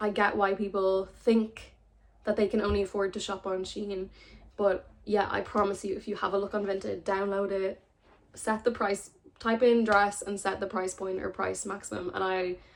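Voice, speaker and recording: A woman's medium-pitched voice in an Irish accent, at a moderate pace with monotone, flat intonation. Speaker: sustainable fashion content creator. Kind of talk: casual talk to camera.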